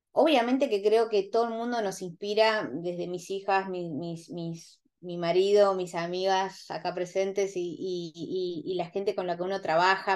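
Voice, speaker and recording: In a quiet background, a woman with an unremarkable speaking voice and medium pitch talks at a fairly slow pace with ordinary pitch variation. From Argentina, rural Buenos Aires province. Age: 40s. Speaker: interview guest. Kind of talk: casual interview.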